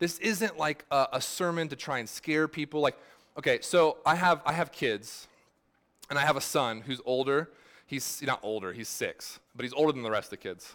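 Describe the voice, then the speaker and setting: This very clean recording has a silent background. A man with a fairly high pitch speaks with lively intonation. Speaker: pastor. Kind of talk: sermon. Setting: church. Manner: fast; casual, halting with fillers.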